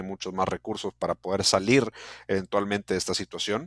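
On a very clean recording with a silent background and a dry, close sound with no echo, a man speaks at a fairly quick pace with a fairly low pitch and monotone, flat intonation. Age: 20s. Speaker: football podcast host. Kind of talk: casual interview.

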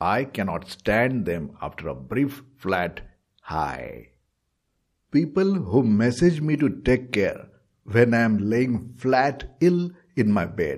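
Vocal fry runs through this man's medium-pitched voice. He talks at a very slow pace with very wide pitch swings. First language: not English. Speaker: podcast host. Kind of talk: comedic monologue.

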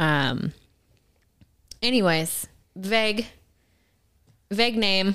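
The very slow delivery has long, frequent pauses, a bright, sharp tone, and lively intonation. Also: woman, medium pitch for a woman. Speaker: podcast co-host, wife and caretaker of cancer patient. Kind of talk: casual chat.

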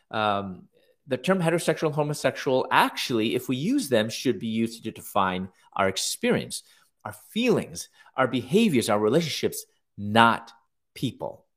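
On a very clean recording with a silent background, a man with an American accent and an unremarkable speaking voice talks at a moderate pace in a medium pitch with lively intonation. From US Midwest, Chicago. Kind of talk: interview conversation.

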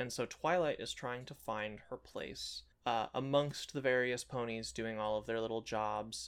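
Speaking at a fairly slow pace with hardly any pauses, a man with an ordinary speaking voice keeps a medium pitch and fairly even intonation. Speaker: podcast co-host. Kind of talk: casual chat.

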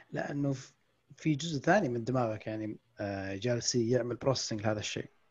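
The pitch moves in an ordinary way. The voice is somewhat breathy. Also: man, medium pitch for a man, fairly quick pace. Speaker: podcast host and book-summary YouTuber. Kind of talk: casual chat.

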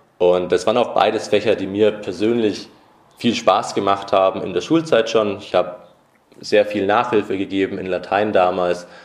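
The man's pitch is fairly low. Noticeable background noise is present. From Nuremberg, Franconia (Bavaria). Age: 20s. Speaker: youth politician. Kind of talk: podcast interview.

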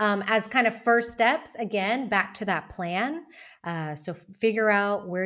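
A woman's normal speaking voice with an American accent, lively intonation and a moderate pace on a very clean recording with a silent background. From United States. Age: 40s. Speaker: founder of a community for women moving abroad. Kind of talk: podcast interview.

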